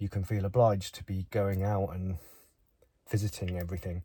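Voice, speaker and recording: Here a man with an English accent sounds somewhat breathy, his tone dark and mellow at a fairly low pitch. The recording is very clean, with a silent background. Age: 50s. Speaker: vlogger. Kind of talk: vlog monologue. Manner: halting.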